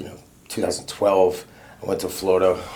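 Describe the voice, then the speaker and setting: A man at a fairly quick pace with ordinary pitch variation, audible room echo and noticeable background noise. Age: 30s. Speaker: person in recovery. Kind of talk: testimony. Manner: casual.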